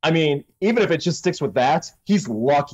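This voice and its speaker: A moderate pace against a quiet background. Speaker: podcast co-host. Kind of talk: casual commentary on news. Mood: amused, joking. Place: home room.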